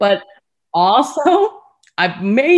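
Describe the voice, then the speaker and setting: A woman speaks with an American accent and lively intonation. The background is quiet. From US, Chinese heritage. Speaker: podcast co-host. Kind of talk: casual chat.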